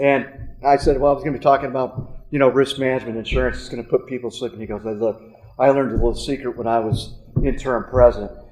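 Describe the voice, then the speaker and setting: Music plays behind a man speaking very fast in an American accent. His intonation is fairly even, but his loudness swings widely. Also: medium pitch for a man. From Kansas. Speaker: business consultant. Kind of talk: speech to alumni audience. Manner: halting with many fillers.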